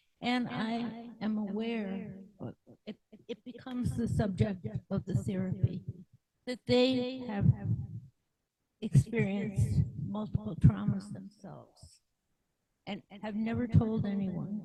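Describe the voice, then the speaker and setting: A woman with vocal fry speaks at medium pitch in a dark, mellow tone with ordinary pitch variation. Her pace is fairly slow, with long, frequent pauses and big swings in loudness. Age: 70s. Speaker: therapist. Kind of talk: testimony.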